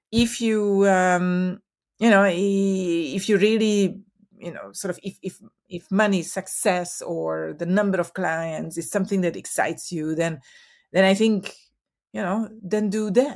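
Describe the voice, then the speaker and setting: Speech comes at a fairly slow pace on a very clean recording with a silent background. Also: woman, medium pitch for a woman, ordinary pitch variation. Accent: Hungarian. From Hungary. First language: Hungarian. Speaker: marketing consultant. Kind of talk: interview. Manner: hesitant, many fillers.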